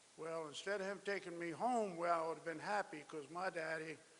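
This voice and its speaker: A man with a South Carolina accent, high-pitched, at a fairly quick pace. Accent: Southern US (South Carolina). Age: 70s. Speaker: speaker at memorial ceremony. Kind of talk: speech. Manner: halting.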